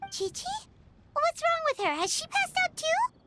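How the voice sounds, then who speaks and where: A squeaky, put-on character voice at an extremely high pitch and a fairly quick pace. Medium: video game. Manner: chatty, excitable.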